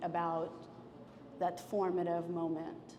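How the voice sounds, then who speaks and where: A woman with a Russian accent speaks at a very slow pace and a fairly low pitch. Noticeable background noise and audible room echo surround her voice. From former Soviet Union. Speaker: painter. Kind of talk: public artist conversation. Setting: gallery with audience. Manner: halting, many fillers.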